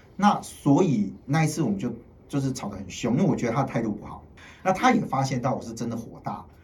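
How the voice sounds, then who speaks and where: A man talks at a very fast pace and medium pitch, animated and with lively intonation. Room echo is audible. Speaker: TV political commentator. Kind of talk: casual chat.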